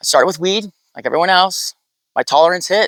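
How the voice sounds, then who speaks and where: A high-pitched man with a Californian accent is recorded with a dry, close sound and no echo. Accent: Californian American English. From US West Coast, San Diego. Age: 40s. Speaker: off-grid sticker business owner. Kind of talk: casual interview.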